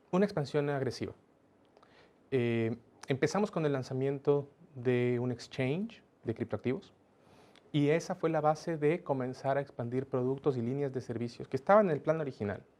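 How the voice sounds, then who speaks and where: Pausing long and often, a man talks at a moderate pace in a fairly high pitch with ordinary pitch variation. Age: young. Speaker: business executive. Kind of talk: interview.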